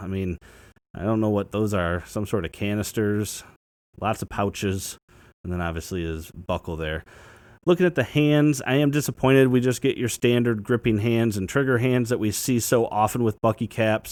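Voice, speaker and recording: Recorded very cleanly against a silent background, a man with a plain, everyday voice speaks at a fairly low pitch and moderate pace with lively intonation. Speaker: toy reviewer. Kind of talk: product review. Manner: casual.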